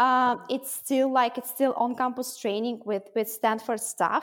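A high-pitched woman with a Russian accent at a moderate pace. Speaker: mindset coach and program founder. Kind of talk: interview conversation.

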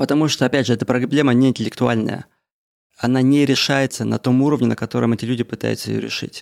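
A man talks at a very fast pace with medium pitch and monotone, flat intonation, recorded with a dry, close sound and no echo. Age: 30s. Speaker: podcaster. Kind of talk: casual monologue. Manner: casual, unedited.

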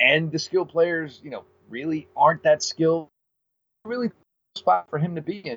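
A man's high-pitched voice at a fairly quick pace, dry and close with no echo. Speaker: sports podcast host. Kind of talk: casual sports talk interview. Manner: frequent filler words.

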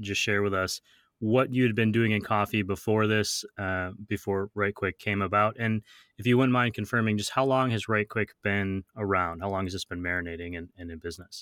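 In a plain, everyday voice, a man with a fairly low pitch talks at a fairly quick pace, the sound dry and close with no echo. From US Midwest. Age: 40s. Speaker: podcast host. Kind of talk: interview. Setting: remote call.

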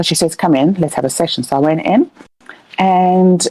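A plain, everyday voice with ordinary pitch variation and a dry, close sound with no echo. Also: woman. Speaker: caller and healer. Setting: Discord call.

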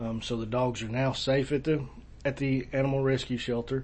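Somewhat breathy, the voice holds a monotone, flat intonation. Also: man. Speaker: county sheriff. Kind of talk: casual interview. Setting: office.

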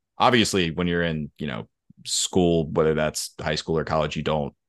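Over a quiet background, a man speaks in a very deep, low pitch with vocal fry and fairly even intonation. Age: 20s. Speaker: writer and publisher. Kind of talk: casual interview.

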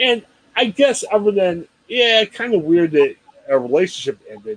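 With an American accent, a man speaks at a moderate pace with very wide pitch swings, recorded dry and close with no echo. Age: 40s. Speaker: podcast host. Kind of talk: casual interview chat.

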